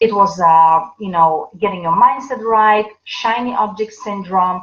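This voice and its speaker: Speaking fairly slowly with a non-native accent, a woman uses a medium pitch and ordinary pitch variation. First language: not English. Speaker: business coach. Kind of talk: livestream talk. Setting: live video broadcast. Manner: halting, many fillers.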